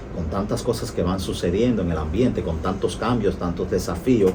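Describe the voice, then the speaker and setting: A man talks at a moderate pace with ordinary pitch variation. Audible room echo and noticeable background noise surround him. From Latin America. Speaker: doctor and radio host. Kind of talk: radio interview. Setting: radio studio, live broadcast.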